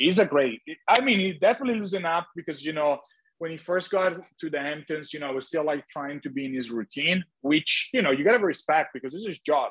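Recorded dry and close with no echo, a man talks at a fairly quick pace in a fairly high voice with lively intonation. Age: 30s. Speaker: reality TV star. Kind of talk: casual interview. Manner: halting.

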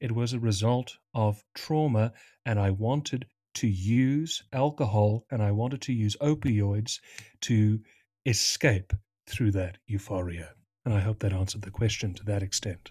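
A dark, mellow, somewhat breathy voice at a fairly slow pace, with ordinary pitch variation, on a very clean recording with a silent background. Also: man, fairly low pitch for a man. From South Africa. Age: 20s.

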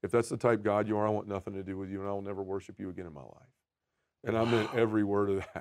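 Talking at a very fast pace with a Southern US accent, a man uses a fairly low pitch and fairly even intonation while his loudness swings widely. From Memphis, Tennessee. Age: 40s. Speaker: podcaster and men's ministry leader. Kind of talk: testimony.

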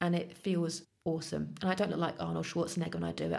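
A woman speaks with a fairly low pitch and vocal fry. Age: 40s. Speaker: office manager, podcast guest. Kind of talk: casual interview, personal story.

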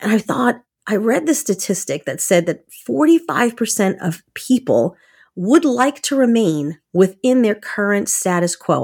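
An animated woman at medium pitch with very wide pitch swings and a moderate pace, on a very clean recording with a silent background. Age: 50s. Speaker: podcast host. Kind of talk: casual solo monologue.

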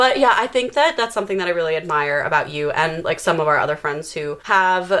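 A woman uses a normal speaking voice at a fairly low pitch with ordinary pitch variation. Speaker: podcast host. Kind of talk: casual interview chat.

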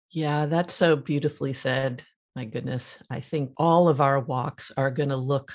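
This woman speaks with a very deep, low pitch. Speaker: podcast co-host. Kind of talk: casual chat.

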